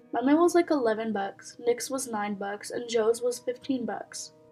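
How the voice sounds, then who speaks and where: A woman speaks at a fairly quick pace in a high voice with ordinary pitch variation. Music plays in the background. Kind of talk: reading reddit posts with commentary. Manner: casual, conversational.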